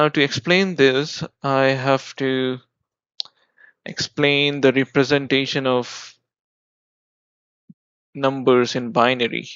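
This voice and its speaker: With an Indian accent, a man speaks at a very slow pace and a fairly high pitch. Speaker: software developer. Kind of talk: coding tutorial explanation. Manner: casual, explanatory.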